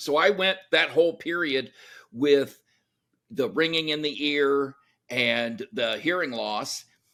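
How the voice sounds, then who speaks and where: Loud and bright with a sharp tone, a man speaks at a moderate pace with a fairly high pitch and ordinary pitch variation. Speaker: military veteran and entrepreneur. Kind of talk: interview.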